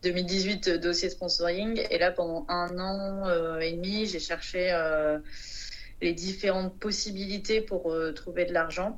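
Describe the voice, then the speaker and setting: At a very slow pace, a woman talks in a medium pitch with fairly even intonation and audible room echo. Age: 30s. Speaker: sailor. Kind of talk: interview.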